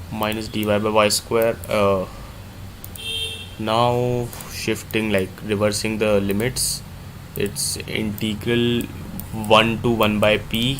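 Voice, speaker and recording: A man with an Indian accent, fairly low in pitch, very slow and flat in a monotone, with long, frequent pauses, audible room echo and noticeable background noise. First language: Hindi. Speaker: math tutor. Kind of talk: live problem-solving tutorial.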